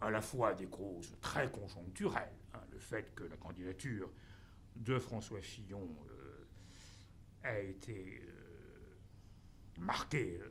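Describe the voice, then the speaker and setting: There is vocal fry in this man's voice as he talks at a very slow pace. Audible room echo surrounds him. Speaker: professor. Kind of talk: conference talk. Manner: halting, many fillers.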